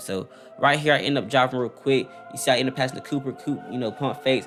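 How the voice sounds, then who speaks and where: Music plays in the background as a man talks at a medium pitch. His pace is very fast. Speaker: gaming YouTuber. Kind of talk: gameplay commentary; channel outro. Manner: stuttering.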